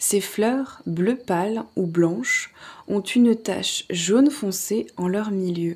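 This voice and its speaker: Lively intonation marks a woman's very slow delivery. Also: medium pitch for a woman. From Alsace, France. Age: 30s. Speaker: ASMR creator. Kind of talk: ASMR book reading. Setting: relaxed at home in a hammock, birds and crickets in background. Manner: soft-spoken, relaxed.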